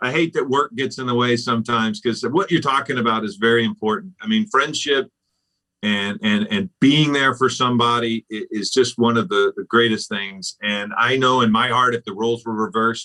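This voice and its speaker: At a moderate pace, a man speaks at medium pitch with ordinary variation in pitch. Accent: Southern US. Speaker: TV news anchor. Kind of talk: casual chat.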